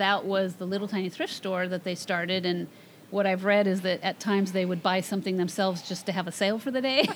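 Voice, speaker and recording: A woman with an American accent speaks very fast at a medium pitch. Her intonation is fairly even, and there is noticeable background noise. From Washington State, US Pacific Northwest. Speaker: nonprofit executive director and artist. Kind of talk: interview conversation.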